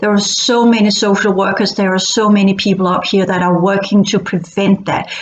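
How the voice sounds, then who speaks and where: A woman with a Danish accent, fairly high in pitch, at a moderate pace over noticeable background noise. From Denmark. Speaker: online educator / futurist channel host. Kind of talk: monologue talk to camera. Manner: halting, frequent repetitions.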